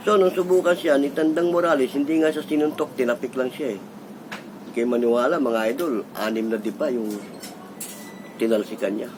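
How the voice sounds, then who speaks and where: A man with a fairly high pitch and lively intonation talks at a fairly quick pace, leaving long, frequent pauses, over noticeable background noise. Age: 60s. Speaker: vlogger. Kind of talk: casual storytelling monologue.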